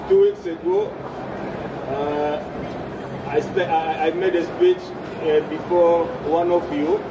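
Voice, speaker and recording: A man with a high pitch speaks very slowly, with long, frequent pauses and monotone, flat intonation. Audible room echo and noticeable background noise fill the recording. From DR Congo. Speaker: refugee rights activist. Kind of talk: protest rally speech. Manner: halting, many hesitations and repetitions.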